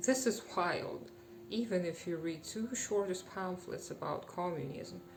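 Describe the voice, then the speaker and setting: Music plays in the background as a woman speaks at a moderate pace. Her fairly low voice has lively intonation. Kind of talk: political commentary to camera.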